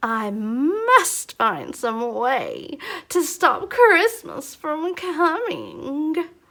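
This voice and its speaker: A woman puts on a character voice at an extremely high pitch, growling with very wide pitch swings. Her pace is very slow. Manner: growling, scheming.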